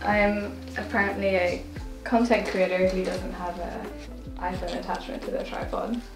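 A woman speaks at a moderate pace and medium pitch. Music plays clearly in the background. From Northern Ireland. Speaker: content creator. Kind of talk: casual vlog talk to camera. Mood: cheerful, excited. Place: home room. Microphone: camera far.

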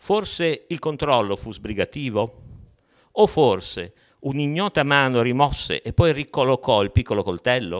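Against a quiet background, a man talks with very wide swings in pitch. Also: fairly slow pace. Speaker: poet and writer. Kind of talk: poetry reading of prose poems, read aloud. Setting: online video session. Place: hall. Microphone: handheld.

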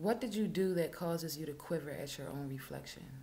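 A woman's voice has a dark, mellow tone. There is light background noise. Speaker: poet. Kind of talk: spoken word poetry reading. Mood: intense, somber. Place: home room. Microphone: webcam.

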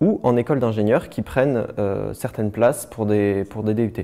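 In a dark, mellow tone and a fairly low pitch, a man talks at a moderate pace against a quiet background. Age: 20s. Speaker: university student. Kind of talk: testimony. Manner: halting.

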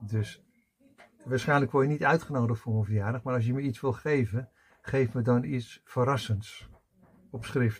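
Somewhat breathy, a man with a medium pitch speaks at a moderate pace, keeping his intonation fairly even and leaving long, frequent pauses. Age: 60s. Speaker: personal development coach; coach or spiritual teacher. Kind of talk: personal video monologue. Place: home room.

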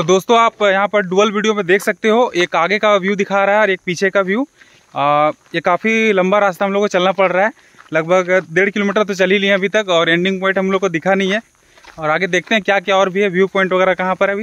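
A man talks at a fairly quick pace in a high pitch with fairly even intonation, the sound dry with no echo. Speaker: vlogger. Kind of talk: casual vlog chat. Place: forest. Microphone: phone near.

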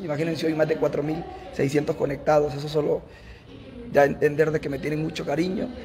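A man takes a fairly slow pace, and noticeable background noise is heard throughout. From Honduras, Olancho; Honduras. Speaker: TV news presenter; streamer saying farewell. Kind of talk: farewell livestream. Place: office. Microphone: phone near.

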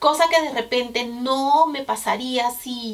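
A woman's voice with ordinary pitch variation. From Peru. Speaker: vlogger. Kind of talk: casual talk to camera. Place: home room.

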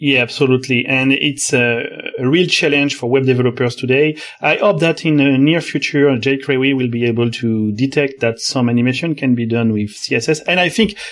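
In a French accent, a man talks at a medium pitch. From France. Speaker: software developer, author of a 3D web engine. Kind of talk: technical interview.

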